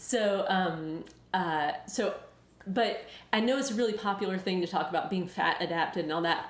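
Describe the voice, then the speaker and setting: A woman with a Southern US accent talks at medium pitch and a moderate pace, with ordinary pitch variation and audible room echo. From US South. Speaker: weight loss YouTuber and author. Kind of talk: live Q&A. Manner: casual, hesitant with many fillers.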